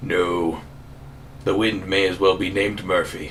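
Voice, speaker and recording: A man uses a put-on character voice with very deep, low pitch. He keeps a moderate pace over clear background noise. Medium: actual play. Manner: wisecracking, boastful.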